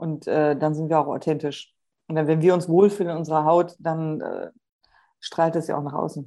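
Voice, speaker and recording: A woman's very deep, low voice with a dark, mellow tone, monotone, flat intonation and a moderate pace over a quiet background. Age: 40s. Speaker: podcast co-host, hypnotherapist and coach. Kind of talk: casual chat.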